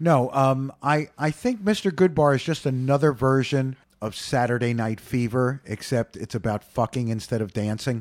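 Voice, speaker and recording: A man talks at a moderate pace with hardly any pauses, in an ordinary speaking voice. His pitch is medium with ordinary variation, on a very clean recording with a silent background. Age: 50s. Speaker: community radio host. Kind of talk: casual radio interview.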